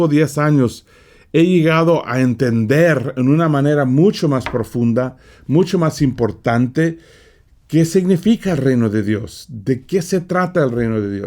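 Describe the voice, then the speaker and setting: Speaking at a fairly slow pace, a man uses a fairly high pitch. His intonation is lively. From California. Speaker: preacher. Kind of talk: sermon. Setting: studio.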